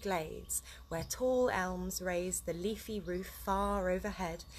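Over light background noise, a woman speaks at a fairly slow pace. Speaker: story reader. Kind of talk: reading aloud a children's book. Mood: relaxed, cheerful. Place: garden. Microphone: phone near.

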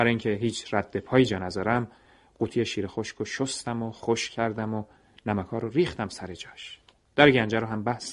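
A man with an ordinary speaking voice and medium pitch talks at a fairly quick pace with fairly even intonation. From Iran. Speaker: radio storyteller. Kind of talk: scripted narration. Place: studio.

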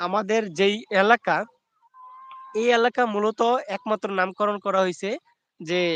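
A man's high-pitched voice, fairly even in intonation, with a dry, close sound and no echo. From Bangladesh, Sylhet (Sunamganj). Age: 20s. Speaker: YouTube livestreamer. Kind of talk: casual live stream chat.

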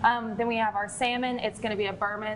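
Clear background noise sits behind a woman speaking fast at a medium pitch. Her pitch barely moves.

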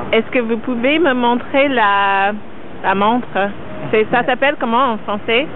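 At a fairly slow pace with long, frequent pauses, a woman talks at a fairly high pitch with ordinary pitch variation, the sound dry with no echo and light background noise behind her. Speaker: street style interviewer. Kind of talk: casual street interview questions. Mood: amused, charmed. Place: street. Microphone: phone near.

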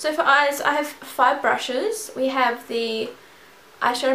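Amid light background noise and audible room echo, a woman in a raised, projected voice speaks at a fairly slow pace. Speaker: beauty vlogger. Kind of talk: tutorial. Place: home room. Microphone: camera far.

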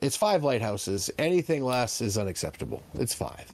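Speaking at medium pitch and a moderate pace, a man uses big pitch swings in a slightly mellow tone.

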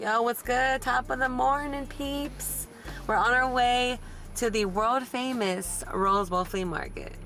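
With faint music in the background, a woman talks at a very slow pace in a high pitch, the sound dry with no echo. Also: ordinary pitch variation. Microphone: camera far.

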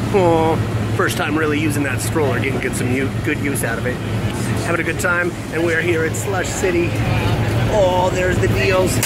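A man talks at a moderate pace, stopping often for long pauses. Loud noise fills the background. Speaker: entertainer vlogger. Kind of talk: casual vlog chat. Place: street. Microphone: phone near.

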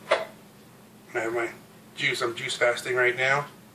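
A man speaks over noticeable background noise. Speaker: home vlogger. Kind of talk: casual vlog chat. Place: home room. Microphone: camera far.

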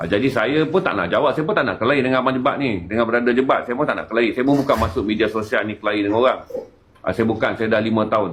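Amid noticeable background noise, a man speaks at a very fast pace. His pitch is medium, with ordinary variation. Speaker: activist. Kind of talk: casual chat.

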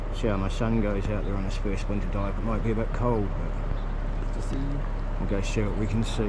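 Loud noise in the background nearly competes with a man's voice. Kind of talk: casual vlog chat. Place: beach. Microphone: phone near.

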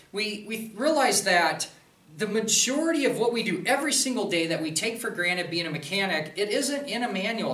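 Man with a high pitch, bright, sharp tone, lively intonation and fairly quick pace, plus audible room echo

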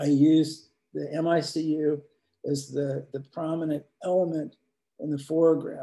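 A man with a Midwestern US accent, fairly high in pitch with a dark, mellow tone, monotone, flat intonation, a fairly slow pace and long, frequent pauses. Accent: US Midwest. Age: 70s. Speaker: commercial photographer. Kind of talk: presentation to students. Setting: video call.

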